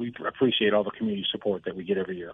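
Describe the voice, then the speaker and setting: A man speaks very fast in an American accent. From Buffalo, New York. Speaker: police officer. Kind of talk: radio interview.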